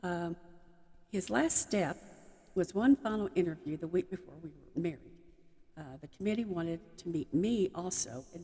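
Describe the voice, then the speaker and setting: Speaking in a Texan accent, a woman has a fairly low pitch, a dark, mellow tone, ordinary pitch variation and a moderate pace. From Texas. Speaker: army chaplain's wife. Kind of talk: personal talk to audience.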